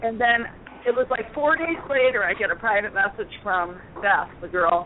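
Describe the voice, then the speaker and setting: Amid noticeable background noise, a woman with an American accent speaks at a fairly high pitch and a fairly slow pace. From Connecticut. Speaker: caller. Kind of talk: casual chat. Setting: phone call.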